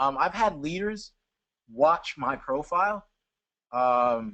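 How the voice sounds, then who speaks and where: A man's very slow delivery with lively intonation. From Jamaica. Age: 20s. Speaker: network marketer. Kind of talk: webinar Q&A. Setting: online webinar.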